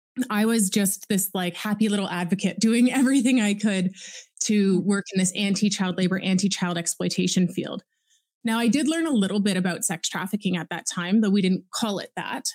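Woman with a Canadian accent, medium pitch, and a somewhat breathy voice, at a fairly quick pace with ordinary pitch variation. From Ontario, Canada. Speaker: anti-trafficking activist and survivor. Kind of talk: interview testimony.

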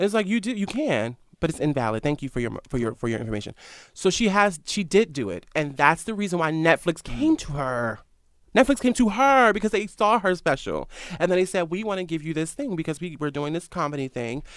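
Speaking at a fairly quick pace with an American accent, a man uses a high pitch and very wide pitch swings. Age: 20s. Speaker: founder of a news media site. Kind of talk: casual interview. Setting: studio.

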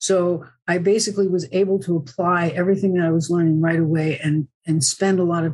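A woman's somewhat breathy voice sits at a fairly low pitch with ordinary pitch variation. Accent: American. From New Jersey. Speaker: acupuncturist and human design coach. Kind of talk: interview.

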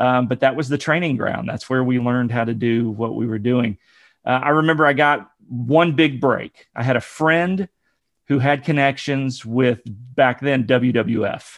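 With an American accent, the speaker talks at a moderate pace with ordinary pitch variation. It is a plain, everyday voice, and the background is quiet. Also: man, medium pitch for a man. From Ohio, near Dayton. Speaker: podcaster and former pastor. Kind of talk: casual interview, personal testimony.

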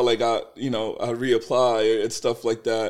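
This man speaks at a moderate pace in an unremarkable speaking voice. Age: 30s. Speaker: entrepreneur. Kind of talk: casual chat.

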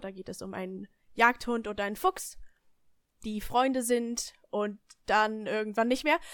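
An ordinary speaking voice from a woman, fairly high in pitch with ordinary pitch variation, in a very clean recording with a silent background. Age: young. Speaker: podcast guest, friend of the hosts. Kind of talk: casual chat.

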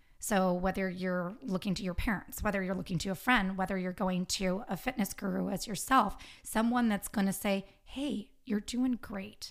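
In an ordinary speaking voice, a woman talks at a medium pitch with ordinary pitch variation, on a very clean recording with a silent background. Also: moderate pace. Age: 40s. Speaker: podcast guest, health and fitness advocate. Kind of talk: casual interview chat.

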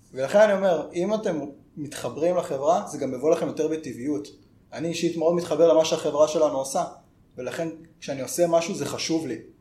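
Very fast speech over noticeable background noise. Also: man, fairly high pitch for a man, ordinary pitch variation. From northern Israel (Karmiel). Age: 20s. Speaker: software developer. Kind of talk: podcast interview. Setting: office.

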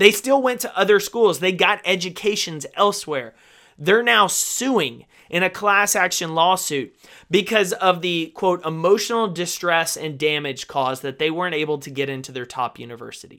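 In a very clean recording with a silent background, a man with a high pitch and a bright, sharp tone speaks at a moderate pace, with lively intonation and big swings in loudness. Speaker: podcast host. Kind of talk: angry rant. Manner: indignant, fired-up, emphatic.

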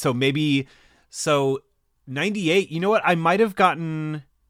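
A man with a Californian accent at a fairly slow pace, on a very clean recording with a silent background. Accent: Californian American. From Southern California, Orange County. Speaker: podcaster. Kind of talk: casual chat.

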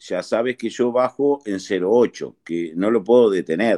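Speaking at a very slow pace, a man with a medium-pitched voice and a dark, mellow tone is heard over a quiet background in a dry, close sound with no echo. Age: 50s. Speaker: amateur golfer. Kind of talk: casual chat.

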